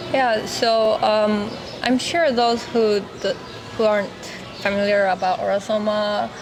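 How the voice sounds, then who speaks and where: Music plays in the background as a woman speaks with a Japanese accent at medium pitch. Her intonation is fairly even, with audible room echo. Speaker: spiritual teacher. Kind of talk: vlog monologue. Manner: halting, many fillers.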